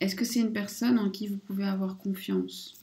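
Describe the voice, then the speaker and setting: A woman with a medium pitch speaks at a very slow pace, her intonation fairly even. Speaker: oracle card reader / spiritual guidance channel host. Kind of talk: casual talk to camera, oracle card reading.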